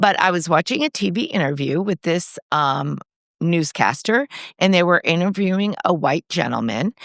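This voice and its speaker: On a very clean recording with a silent background and a dry, close sound with no echo, a woman speaks at a moderate pace, fairly low in pitch, with lively intonation and vocal fry. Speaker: podcast co-host. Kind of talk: casual chat. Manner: trouble pronouncing R's.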